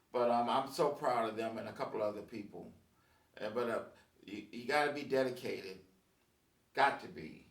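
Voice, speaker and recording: A man speaks with long, frequent pauses amid audible room echo. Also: medium pitch for a man, ordinary pitch variation, moderate pace, big swings in loudness. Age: 60s. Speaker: musician and video blogger. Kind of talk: casual monologue. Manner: halting, many fillers.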